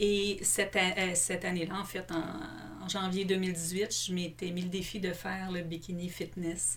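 A woman with a Quebec accent talks at a fairly slow pace in a medium pitch, her intonation fairly even. Noticeable background noise and audible room echo come through in the recording. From Quebec, Longueuil (Montreal south shore). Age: 40s. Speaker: businesswoman, illness survivor. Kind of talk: personal testimony in interview.

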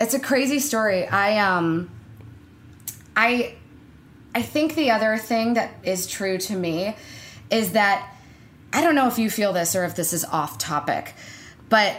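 This woman has a plain, everyday voice. She speaks at a moderate pace. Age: 20s. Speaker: actor and comedian. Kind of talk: casual interview chat.

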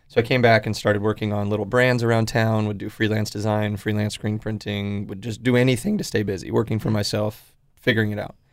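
A man with a West Coast accent speaks at a very fast pace in a flat, monotone delivery, his pitch fairly low. There are hardly any pauses, and the recording is very clean with a silent background. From Oregon, Portland area. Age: 20s. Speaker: clothing brand founder. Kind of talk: casual interview. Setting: radio studio.

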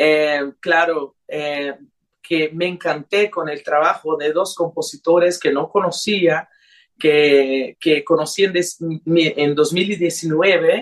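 Very slowly, a woman speaks in a fairly low voice. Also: fairly even intonation. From Brazilian-Honduran, raised in several countries. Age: young. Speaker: singer. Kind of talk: radio interview. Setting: remote call to radio studio. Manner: hesitant, many fillers.

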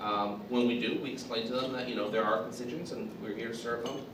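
A man at a fairly quick pace, fairly even intonation, noticeable background noise. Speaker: congressional communications director. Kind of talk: panel discussion.

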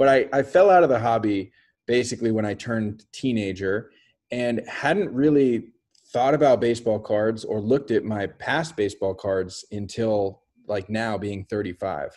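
With an American accent and a normal speaking voice, a man talks at a medium pitch and a moderate pace. His pitch varies in an ordinary way over a quiet background. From US West Coast, San Francisco Bay Area. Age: 30s. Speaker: artist. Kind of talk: casual interview.

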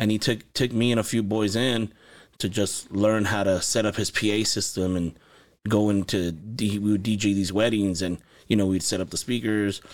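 Here is a plain, everyday voice at a moderate pace. The intonation stays fairly even. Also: man, fairly low pitch for a man. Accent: American. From Los Angeles and Santa Paula, California. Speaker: music producer and studio owner. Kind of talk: casual interview chat. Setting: recording studio.

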